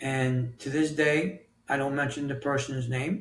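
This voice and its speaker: A man speaks at a fairly slow pace with fairly even intonation. His voice is fairly high and somewhat breathy. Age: 60s. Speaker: author and health coach. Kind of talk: podcast interview answer.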